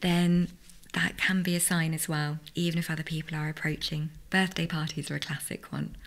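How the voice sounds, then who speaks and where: Her voice is somewhat breathy and fairly low in pitch, as a woman speaks at a moderate pace with monotone, flat intonation. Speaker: psychologist. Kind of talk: interview.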